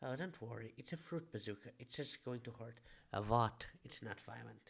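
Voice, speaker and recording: Moderately paced male voice, medium in pitch, showing vocal fry and ordinary pitch variation. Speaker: video game reviewer. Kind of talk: scripted game review narration.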